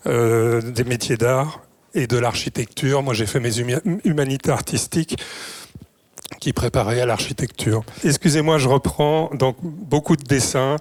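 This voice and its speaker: A man with a medium-pitched voice and ordinary pitch variation speaks at a fairly slow pace over noticeable background noise. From southern France and Belgium. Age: 70s. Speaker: sculptor. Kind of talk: lecture. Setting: conference with audience. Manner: halting; trembling voice.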